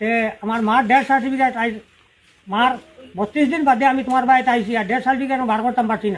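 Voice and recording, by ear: At a fast pace, a man speaks with an extremely high pitch and fairly even intonation.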